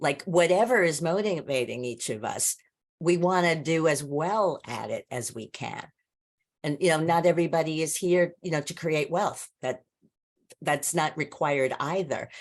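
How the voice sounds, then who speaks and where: This woman has a fairly low pitch and ordinary pitch variation. She speaks at a moderate pace. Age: 60s. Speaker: business coach presenter. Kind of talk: casual group discussion. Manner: repeats words, hesitant starts.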